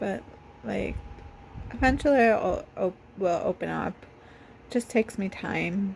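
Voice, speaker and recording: Against noticeable background noise, a woman speaks at a fairly slow pace, leaving long, frequent pauses. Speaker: vlogger. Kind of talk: personal vlog monologue. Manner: halting, many fillers.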